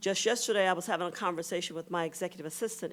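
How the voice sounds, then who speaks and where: With an American accent, a woman has a normal speaking voice, a fairly low pitch and fairly even intonation. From US South. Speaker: keynote speaker. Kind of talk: formal speech.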